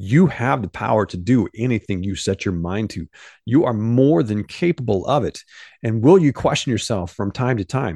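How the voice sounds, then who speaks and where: A man with a Midwestern American accent, medium pitch, an animated tone and lively intonation at a moderate pace, in a dry, close sound with no echo and a quiet background. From US Midwest, southern Illinois. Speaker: podcast host, mindset coach. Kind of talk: motivational monologue. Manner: casual, animated.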